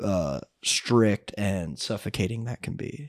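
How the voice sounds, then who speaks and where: A man with an American accent speaks with lively intonation on a very clean recording with a silent background. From North Carolina. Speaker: songwriter, musician and actor. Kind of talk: casual chat.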